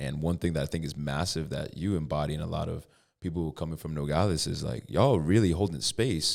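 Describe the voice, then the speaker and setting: A man with an American accent speaks at a moderate pace in a very deep, low pitch with vocal fry and ordinary pitch variation. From Connecticut. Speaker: podcast host. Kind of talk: podcast interview.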